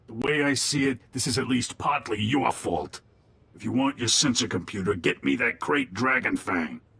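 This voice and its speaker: In a raspy put-on character voice, a man speaks at medium pitch and a moderate pace. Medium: video game. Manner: smooth, urbane.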